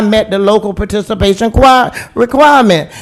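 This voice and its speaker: A man with an American accent speaks loudly at a high pitch and a fairly quick pace. His tone is animated, with ordinary pitch variation. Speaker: city commissioner. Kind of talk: heated debate.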